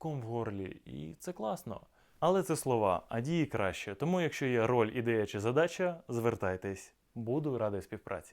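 At a fairly slow pace, a man with an ordinary speaking voice talks with lively intonation on a very clean recording with a silent background. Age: 30s. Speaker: actor. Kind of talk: self-presentation video.

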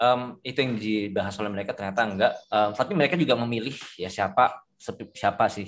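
A man's medium-pitched voice, very fast, with ordinary pitch variation. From Indonesia. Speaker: forex trader, community leader; trader hosting a group discussion. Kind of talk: online discussion with investors and broker. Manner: casual, lots of fillers. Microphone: video call.

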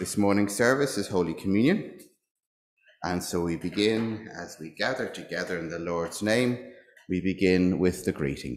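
Here a man speaks at a moderate pace in a very deep, low voice with ordinary pitch variation. There is light background noise and audible room echo. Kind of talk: church notices and liturgy. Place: church. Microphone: lapel.

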